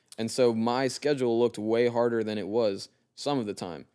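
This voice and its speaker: Using an ordinary speaking voice with an American accent, a man talks at a fairly quick pace and medium pitch with ordinary pitch variation, on a very clean recording with a silent background. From Delaware, US. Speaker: podcast guest. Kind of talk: casual chat. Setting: recording in his father's home.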